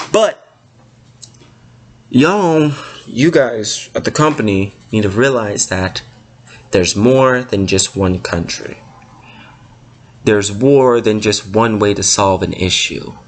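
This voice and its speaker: Lively intonation comes through at a fairly slow pace. Noticeable background noise sits behind the voice. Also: man, long, frequent pauses. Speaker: gaming YouTuber. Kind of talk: rant. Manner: loud.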